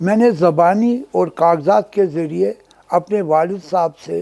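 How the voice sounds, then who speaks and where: A man with a high pitch, a dark, mellow tone and ordinary pitch variation. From Kashmir, Srinagar. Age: 80s+. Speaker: businessman. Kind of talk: oral history interview. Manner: hesitant with fillers, code-switching.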